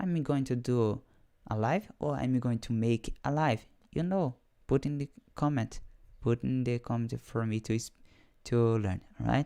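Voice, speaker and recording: Speaking in a Portuguese accent, a man with a dark, mellow tone and medium pitch goes at a fairly slow pace with long, frequent pauses. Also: ordinary pitch variation. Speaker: English learner and programming teacher. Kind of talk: live stream monologue. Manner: halting.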